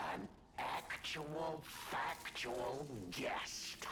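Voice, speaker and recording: Over loud background noise, a man whispers in a put-on character voice. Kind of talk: stage villain acting. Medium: machinima. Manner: theatrical, giggling, mocking.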